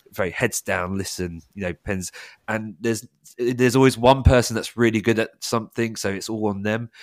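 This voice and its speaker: This man talks at a moderate pace with fairly even intonation, and the sound is dry and close with no echo on a very clean recording with a silent background. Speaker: quiz host. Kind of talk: casual chat.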